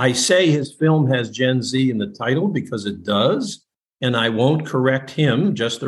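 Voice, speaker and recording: A man with an American accent speaks at medium pitch and a moderate pace. His voice is somewhat breathy. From US Midwest. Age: 80s. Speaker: webinar moderator and generational expert. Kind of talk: moderated webinar discussion.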